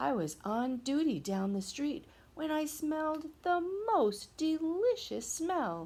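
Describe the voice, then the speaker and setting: A put-on character voice, female-sounding and high-pitched, moves at a fairly slow pace. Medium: read story.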